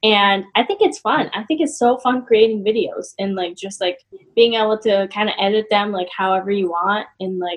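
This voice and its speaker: A woman with an American accent talks at a moderate pace and medium pitch, with ordinary pitch variation. It is an ordinary speaking voice. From western Massachusetts (Westfield, small town). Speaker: online fitness coach. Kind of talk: casual interview chat.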